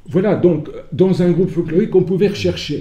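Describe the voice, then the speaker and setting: Audible room echo surrounds a man who speaks at a moderate pace in a high pitch with a dark, mellow tone. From France, Sarthe. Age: 70s. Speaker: folk dancer and retired teacher. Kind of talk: conference talk. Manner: hesitant, many fillers.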